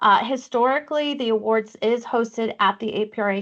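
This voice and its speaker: A woman's plain, everyday voice, fairly high in pitch, with ordinary pitch variation, a moderate pace, and a quiet background. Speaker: awards committee chair presenting a workshop. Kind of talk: online workshop presentation. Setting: video call.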